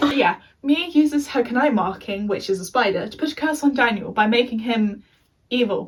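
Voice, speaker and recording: A woman speaks at a high pitch and a fairly quick pace. Her pitch varies in an ordinary way. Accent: English. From England. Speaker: youtuber. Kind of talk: review monologue. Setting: being filmed by a friend.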